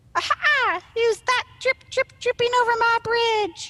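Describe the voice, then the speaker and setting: Her put-on character voice is squeaky and extremely high for a woman. The pace she keeps is fairly slow. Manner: triumphant, teasing.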